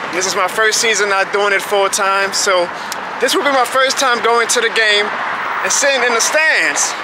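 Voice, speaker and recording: A man talks at a moderate pace. The sound is dry with no echo, though background noise is loud. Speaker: vlogger. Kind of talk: casual vlog chat. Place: street. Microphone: phone near.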